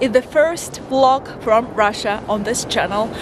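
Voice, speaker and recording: High-pitched female speech, fairly slow, over noticeable background noise. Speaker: travel vlogger. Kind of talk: casual talk to camera. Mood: cheerful, excited. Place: street. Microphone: phone near.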